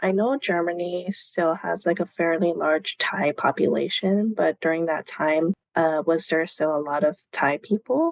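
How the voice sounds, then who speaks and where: In a dry, close sound with no echo, a woman speaks at a fairly slow pace in a normal speaking voice, fairly low in pitch with ordinary pitch variation, very even loudness and hardly any pauses. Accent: American. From United States. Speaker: podcast host. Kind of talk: casual chat.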